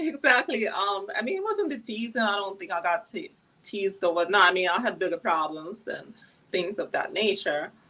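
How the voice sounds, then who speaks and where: Speaking at a moderate pace with a Ukrainian accent, a woman uses a medium pitch, lively intonation and a bright, sharp tone. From Ukraine, Kyiv. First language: Ukrainian or Russian. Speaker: former adult film performer. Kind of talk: interview.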